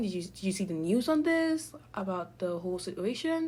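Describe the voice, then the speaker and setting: A woman speaks at a medium pitch with very wide pitch swings. Her voice is somewhat breathy. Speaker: university student podcaster. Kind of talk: casual podcast monologue. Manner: chatty, rambling.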